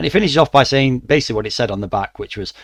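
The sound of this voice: A man talks at a very fast pace. His pitch is medium and his intonation lively.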